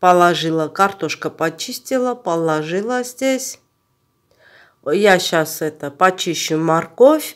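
A woman at a medium pitch, very slow, with long, frequent pauses and very wide pitch swings, in a very clean recording with a silent background. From Armenia. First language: Armenian (speaking Russian). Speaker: cooking vlogger. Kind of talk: cooking tutorial.

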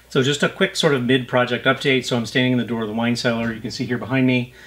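Very fast, a man speaks with fairly even intonation. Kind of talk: tutorial. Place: home room. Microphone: camera far.

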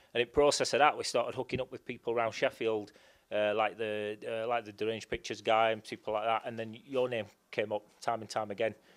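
A man at a very fast pace in a monotone, flat intonation. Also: quiet background. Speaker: independent filmmaker. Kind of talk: interview answer. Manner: casual, hesitant. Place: studio. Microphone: handheld.

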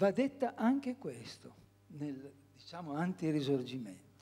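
A man at a very slow pace, his tone dark and mellow, with very wide pitch swings. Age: 80s+. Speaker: audience member asking a question; audience member. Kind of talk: audience question. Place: hall. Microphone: podium.

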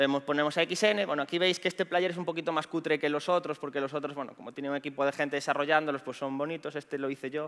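At a very fast pace, a man speaks in a fairly high-pitched, bright, sharp voice. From Galicia, Spain. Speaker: pentester and conference speaker; conference speaker. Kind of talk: conference talk. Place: stage.

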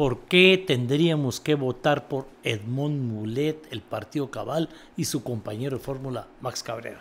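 A man talks at a fairly slow pace with ordinary pitch variation over light background noise. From Guatemala. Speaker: podcast host. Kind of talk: interview. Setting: studio. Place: studio. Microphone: studio mic.

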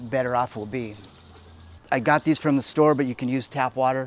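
A man talks at a fairly quick pace with fairly even intonation. The sound is dry with no echo, with light background noise. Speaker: homebrew shop demonstrator. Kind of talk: tutorial. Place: street.

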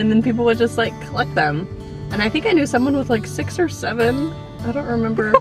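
Clear music plays behind a woman speaking at a very fast pace. The sound is dry, with no echo. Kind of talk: casual vlog chat. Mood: amused, laughing. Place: car. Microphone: phone near.

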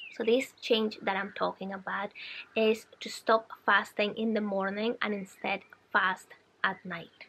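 Her intonation monotone and flat, a woman at medium pitch speaks at a fairly slow pace. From Colombia. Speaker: wellness vlogger. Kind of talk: casual vlog talk to camera. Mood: calm, friendly. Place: garden.

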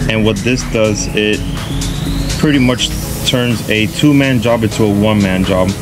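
A man at a moderate pace over clear background music. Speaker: boat owner DIY creator. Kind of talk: tutorial. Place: boat. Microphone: camera far.

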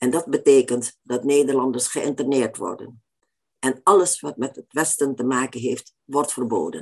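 With a quiet background behind her, a woman talks at a fairly slow pace in a very deep, low pitch with ordinary pitch variation. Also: big swings in loudness. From Indonesia. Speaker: author. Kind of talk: lecture. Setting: stage with audience. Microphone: webcam.

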